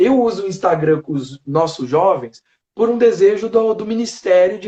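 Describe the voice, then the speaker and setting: His voice is high in pitch with a dark, mellow tone, this man speaking. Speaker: teacher. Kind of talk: live video interview. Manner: slow and controlled.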